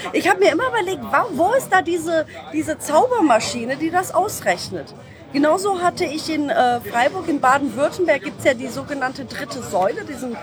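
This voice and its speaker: A woman's high-pitched, animated voice at a moderate pace, with very wide pitch swings, audible room echo, and music in the background. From Germany, Düsseldorf. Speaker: musician's child, former community radio host. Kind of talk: casual interview. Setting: convention floor. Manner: animated, hesitant.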